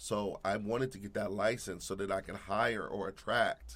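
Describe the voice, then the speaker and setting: A man speaks at a fairly low pitch with vocal fry. His pace is moderate. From Alaska (Anchorage). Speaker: real estate agent. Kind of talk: casual interview.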